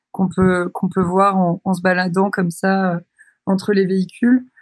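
With a medium pitch and a flat, monotone delivery, a woman speaks in a dry, close sound with no echo. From France, Brittany (Douarnenez, Finistère). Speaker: photographer and visual artist. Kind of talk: interview. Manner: hesitant, many filler sounds.

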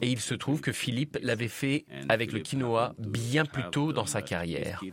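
A man speaks at medium pitch and a fairly slow pace. His intonation is lively, with noticeable background noise. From Senegal, Dakar. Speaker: chef. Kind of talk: interview.

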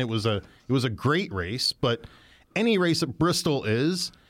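Over a silent background in a very clean recording, a man speaks at a medium pitch. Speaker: podcast host. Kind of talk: casual chat. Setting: studio. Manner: loud.

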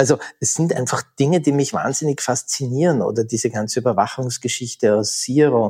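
A man speaks with a dark, mellow tone, moderate pace and ordinary pitch variation. The sound is dry and close with no echo, on a very clean recording with a silent background. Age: 50s. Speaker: thriller author. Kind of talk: interview.

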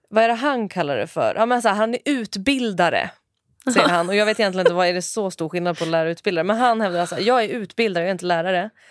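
At a very fast pace, a woman talks with a medium pitch. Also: ordinary pitch variation. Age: 30s. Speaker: developer intern, podcast host's sister. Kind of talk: casual chat. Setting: studio.

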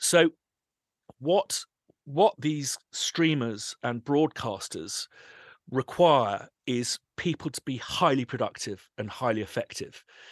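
The sound is dry and close, with no echo and a quiet background. The speech moves at a very slow pace with lively intonation. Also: man, fairly high pitch for a man. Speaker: composer and sample library company owner. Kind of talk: interview conversation. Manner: animated.

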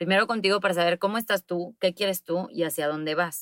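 A woman's normal speaking voice at medium pitch with ordinary pitch variation, in a very clean recording with a silent background and a dry, close sound with no echo. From Mexico, Monterrey. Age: 30s. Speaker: public relations consultant. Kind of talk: interview.

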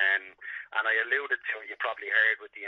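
A man with a Dublin accent talks at a fairly quick pace. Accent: Dublin Irish. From Ireland, Dublin. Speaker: sports psychologist. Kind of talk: interview.

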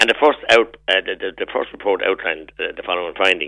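This is a man talking with a Tipperary accent. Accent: Irish, Tipperary. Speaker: politician. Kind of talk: radio interview. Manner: animated.

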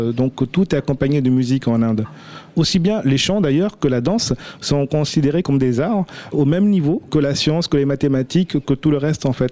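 The man's voice is fairly high in pitch yet dark and mellow in tone, with ordinary pitch variation and a dry, close sound with no echo. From India. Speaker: restaurant manager. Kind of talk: radio panel discussion.

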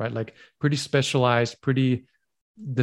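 In a very clean recording with a silent background, a man uses a normal speaking voice with fairly even intonation. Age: 40s. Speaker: myopia self-help educator. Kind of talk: interview.

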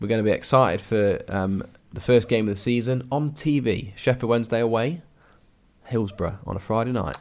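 In an English accent, a man talks at a fairly quick pace, his medium pitch showing ordinary variation. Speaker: adoption podcast co-host. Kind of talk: casual chat.

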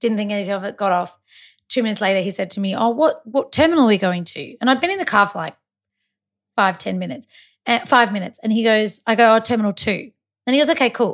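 Someone with an Australian accent talks at a very fast pace with lively intonation, on a very clean recording with a silent background. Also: woman, fairly high pitch for a woman. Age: 30s. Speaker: makeup artist. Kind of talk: casual chat.

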